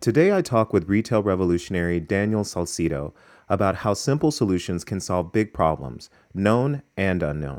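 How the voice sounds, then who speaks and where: Heard on a very clean recording with a silent background, a man with an ordinary speaking voice talks at a moderate pace, fairly low in pitch and lively in intonation. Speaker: podcast host, fashion professor. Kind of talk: interview.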